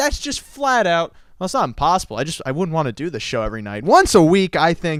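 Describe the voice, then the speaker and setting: On a very clean recording with a silent background, a man speaks loud and fast. His tone is animated, with very wide pitch swings. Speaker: internet radio host. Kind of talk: casual chat. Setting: studio.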